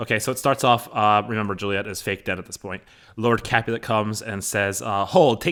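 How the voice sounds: Here is a natural reading voice. Its intonation stays fairly even.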